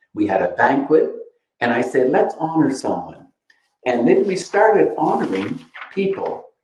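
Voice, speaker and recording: A man talks at a moderate pace. He leaves long, frequent pauses, and audible room echo is present. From New Brunswick, Canada. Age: 80s. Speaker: community leader, former organization president. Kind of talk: speaker series talk. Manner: animated.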